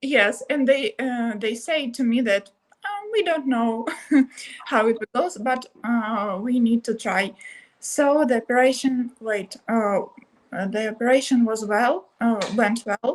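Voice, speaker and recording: A woman talks very slowly at a fairly high pitch, and her pitch varies in an ordinary way. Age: 20s. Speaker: stroke survivor. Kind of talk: interview. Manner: halting.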